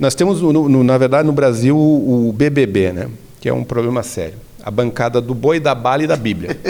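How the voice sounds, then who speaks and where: In a normal speaking voice, a man at medium pitch talks at a moderate pace with ordinary pitch variation. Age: 60s. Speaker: religious leader and association president. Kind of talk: interview conversation.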